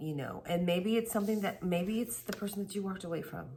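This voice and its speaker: A quiet woman's voice with ordinary pitch variation over noticeable background noise. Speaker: tarot reader. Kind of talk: tarot reading. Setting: at home late at night. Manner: casual.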